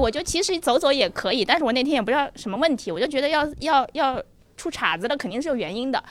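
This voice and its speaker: This woman's voice sits high in pitch. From Ningbo, Zhejiang. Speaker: German teacher. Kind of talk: casual chat before a live audience. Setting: stage with audience.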